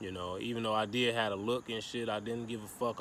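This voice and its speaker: Audible room echo and noticeable background noise surround this recording. A man talks at a fairly quick pace in a medium pitch. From Chicago. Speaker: vlogger. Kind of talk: casual monologue.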